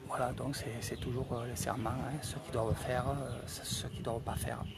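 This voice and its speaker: A soft-spoken man at medium pitch and moderate pace, fairly even intonation, audible room echo and noticeable background noise. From France, Marseille. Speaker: travel vlogger. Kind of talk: live commentary at a ceremony. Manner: soft-spoken, quiet; halting, many hesitations.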